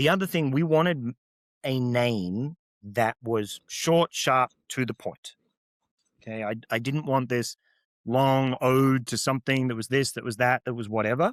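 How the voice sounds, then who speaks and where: This man has an Australian accent and speaks at a fairly slow pace with ordinary pitch variation. The recording is dry and close with no echo, very clean, with a silent background. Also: medium pitch for a man. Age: 40s. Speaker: beverage entrepreneur. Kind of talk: interview conversation.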